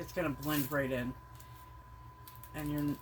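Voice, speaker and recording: A woman talks against noticeable background noise. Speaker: crafter, junk journal maker. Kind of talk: tutorial. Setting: filming self on camera. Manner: casual, hesitant with fillers.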